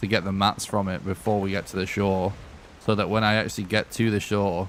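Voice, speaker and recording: A man with a Lancashire accent talks at a fairly low pitch against noticeable background noise. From northern England, Lancashire. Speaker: video game streamer. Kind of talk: live gameplay commentary. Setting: live stream. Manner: casual, rambling.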